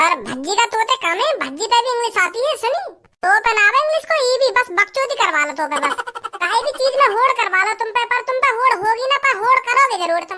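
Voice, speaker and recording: A squeaky, cartoonish character voice at an extremely high pitch and a very fast pace. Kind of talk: comic overacting. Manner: boastful, argumentative.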